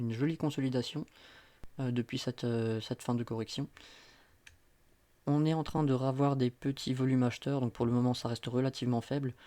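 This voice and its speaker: On a very clean recording with a silent background, a man with a dark, mellow tone and medium pitch talks at a fairly quick pace in a monotone, flat intonation, leaving long, frequent pauses. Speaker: crypto market analyst. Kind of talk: market analysis commentary. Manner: fast; hesitant with fillers.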